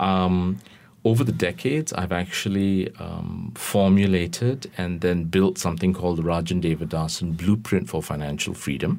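A man speaks at a very deep, low pitch. His pace is moderate and his pitch varies in an ordinary way. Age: 50s. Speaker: financial planner. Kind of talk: radio interview.

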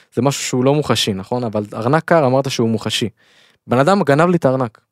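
A man at a medium pitch speaks at a fairly quick pace. The sound is dry and close, with no echo. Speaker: podcast co-host. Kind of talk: casual chat. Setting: studio. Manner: fast.

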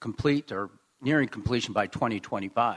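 A man with a Midwestern American accent, medium pitch and ordinary pitch variation, dry, close sound with no echo, very clean recording, silent background. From Springfield, Illinois. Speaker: mayor and political candidate. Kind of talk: political debate. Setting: stage with audience.

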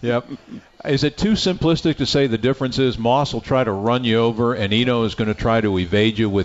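At a fairly quick pace, a man with a plain, everyday voice speaks in a medium pitch, with very even loudness and ordinary pitch variation. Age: 60s. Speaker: radio play-by-play announcer and show host. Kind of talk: live radio sports show, interviewing. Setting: live from a restaurant studio.

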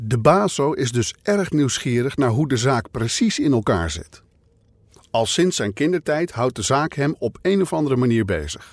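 On a very clean recording with a silent background, a man speaks at medium pitch and a moderate pace in a solemn tone, his pitch swinging very widely. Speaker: podcast narrator and investigator. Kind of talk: true-crime podcast narration, scripted and serious. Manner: measured, solemn, steady storytelling pace.

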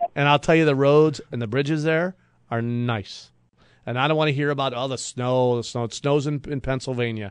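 A plain, everyday voice from a man with an American accent, medium pitch, fairly even intonation and a fairly quick pace, over a quiet background. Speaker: radio host. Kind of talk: casual radio talk show banter. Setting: radio studio.

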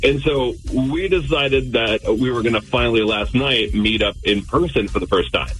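Music plays in the background as a man speaks at a moderate pace, his loudness very even and his speech with hardly any pauses. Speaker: radio call-in show caller. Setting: phone. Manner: casual, uses "like" as frequent filler.

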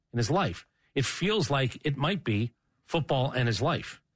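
Against a quiet background, a man with an American accent speaks in a somewhat breathy, fairly high voice with lively intonation. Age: 50s. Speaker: sports radio host. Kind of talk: casual chat.

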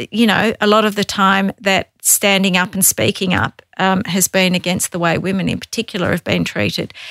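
Her voice sits at a medium pitch, and this woman speaks at a moderate pace in a monotone, flat intonation with hardly any pauses, recorded dry and close with no echo. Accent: Australian. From Tasmania, Australia. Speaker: government agency director. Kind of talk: interview.

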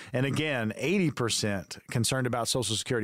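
A man speaks at a very fast pace with a medium pitch and ordinary pitch variation. The recording is very clean, with a silent background. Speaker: radio co-host and consumer advocate. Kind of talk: radio announcer, upbeat promo and interview questions. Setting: radio studio. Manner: polished, upbeat, announcer-like pitch.

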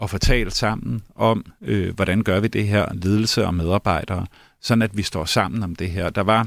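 Vocal fry marks a man's fairly low voice at a fairly slow pace with ordinary pitch variation, on a very clean recording with a silent background. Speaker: union deputy chairman. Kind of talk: radio interview.

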